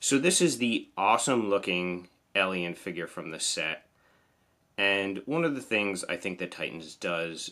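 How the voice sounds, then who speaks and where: This man speaks with a New Jersey accent and a very deep, low pitch. His tone is bright, sharp and enthusiastic. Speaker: toy collector YouTuber. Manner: enthusiastic, casual.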